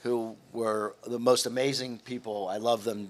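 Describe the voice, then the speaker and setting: Here is a man with an ordinary speaking voice. His pitch is medium and his intonation fairly even. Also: very clean recording, silent background. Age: 60s. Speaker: hotel executive. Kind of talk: interview. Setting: studio.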